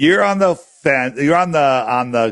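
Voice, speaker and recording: A man speaks with lively intonation at a fairly high pitch. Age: 60s. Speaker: flat earth app creator. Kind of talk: casual chat.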